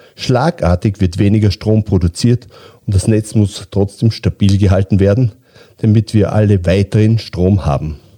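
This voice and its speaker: A dark, mellow, somewhat breathy voice at a moderate pace, with ordinary pitch variation, very even loudness, and a dry, close sound with no echo. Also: man, fairly low pitch for a man. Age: 50s. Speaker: utility company managing director. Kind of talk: interview. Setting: studio.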